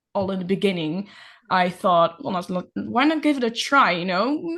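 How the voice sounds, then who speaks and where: A woman with a Dutch accent at a fairly slow pace, against a quiet background. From Netherlands. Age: 20s. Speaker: nail artist and ceramist. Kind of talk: casual interview chat. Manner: hesitant, many fillers.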